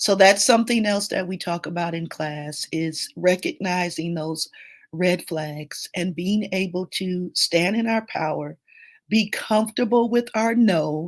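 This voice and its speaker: Very slowly, a woman speaks at a medium pitch with ordinary pitch variation, on a very clean recording with a silent background. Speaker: grief coach. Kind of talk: live stream Q&A.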